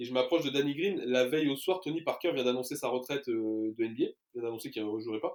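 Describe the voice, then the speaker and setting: This man speaks at a very fast pace with a medium pitch. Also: ordinary pitch variation. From France. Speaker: sports journalist. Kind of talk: casual chat. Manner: hesitant, many fillers.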